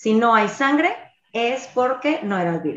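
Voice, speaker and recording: A woman has a normal speaking voice with a fairly high pitch. She talks at a fairly slow pace. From Sonora, Mexico. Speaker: podcast host. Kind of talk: casual chat; reading aloud.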